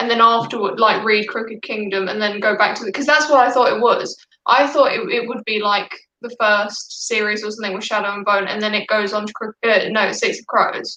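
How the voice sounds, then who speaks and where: A woman with a British accent speaks at a fairly high pitch with fairly even intonation. Her loudness swings a lot. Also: fairly quick pace. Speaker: book YouTuber. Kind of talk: casual live stream chat.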